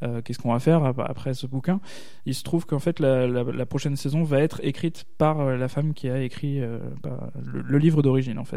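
A man speaks with a dark, mellow tone and fairly even intonation. Audible room echo surrounds his voice. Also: medium pitch for a man, fairly quick pace. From Alsace. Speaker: podcaster. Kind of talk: casual chat.

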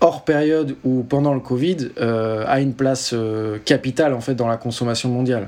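Here a man speaks at a medium pitch and a moderate pace. His intonation stays fairly even. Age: 30s. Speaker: tech company founder and CEO. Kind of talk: interview. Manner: hesitant, many fillers.

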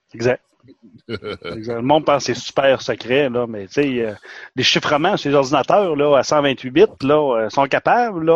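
A man with a plain, everyday voice speaks at a fairly high pitch and a moderate pace. The sound is dry and close with no echo, and the background is quiet. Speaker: podcast co-host. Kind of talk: casual chat.

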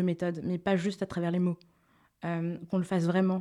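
Fairly quick in pace, this voice has a dark, mellow tone. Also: woman. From Togo, Lomé. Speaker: association co-founder. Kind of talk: interview.

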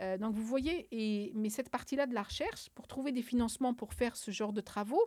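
A woman's fairly high voice at a fairly quick pace, with ordinary pitch variation, an unremarkable speaking voice. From Algeria, Algiers. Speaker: climate scientist. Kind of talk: interview.

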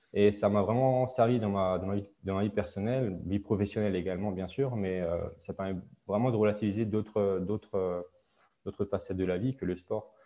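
A man with a fairly low pitch talks at a moderate pace, his intonation fairly even. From Alsace, France. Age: 20s. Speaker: handball referee. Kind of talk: interview. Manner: hesitant, many fillers.

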